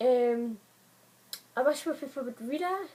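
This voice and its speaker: Noticeable noise sits in the background. The speech moves at a fairly quick pace with ordinary pitch variation. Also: woman. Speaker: book vlogger. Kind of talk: casual vlog talk. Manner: fast; hesitant, many fillers.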